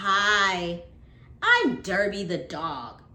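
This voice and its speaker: Using a put-on character voice, a woman speaks at a medium pitch with audible echo. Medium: read story. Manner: timid at first.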